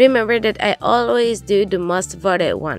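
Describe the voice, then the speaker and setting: A woman's medium-pitched voice at a moderate pace with ordinary pitch variation, music in the background. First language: Spanish. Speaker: DIY craft YouTuber. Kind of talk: craft tutorial voice-over.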